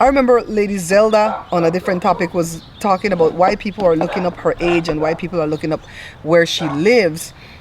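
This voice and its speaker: An animated, fairly quick delivery with an American accent over noticeable background noise. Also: woman. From outside the US. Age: 50s. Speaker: tarot reader. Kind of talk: casual chat.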